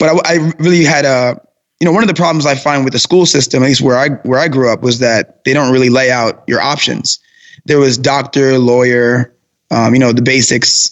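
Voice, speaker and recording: In a New York accent, a man speaks at a fairly quick pace. His pitch is medium and his intonation fairly even. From Brooklyn, New York. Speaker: personal trainer and fitness business owner. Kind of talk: interview.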